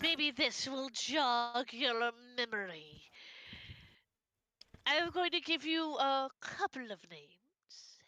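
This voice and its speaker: A put-on character voice, female-sounding and high-pitched, at a very slow pace with long, frequent pauses, on a very clean recording with a silent background. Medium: actual play. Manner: smooth, insinuating.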